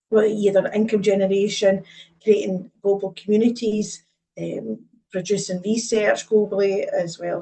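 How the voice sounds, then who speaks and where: A woman with a Scottish accent speaks at a moderate pace in a medium pitch, somewhat breathy, with fairly even intonation. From Scotland. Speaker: advanced practice nurse lead and lecturer. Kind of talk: webinar presentation.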